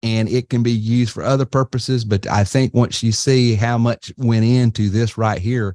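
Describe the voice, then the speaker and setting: Against a quiet background, a man speaks at a moderate pace with hardly any pauses, his medium-pitched voice dark and mellow, his intonation monotone and flat, in a dry, close sound with no echo. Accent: Southern US. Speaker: webinar host, marketing business owner. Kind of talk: webinar presentation. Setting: online webinar. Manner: casual, halting with fillers.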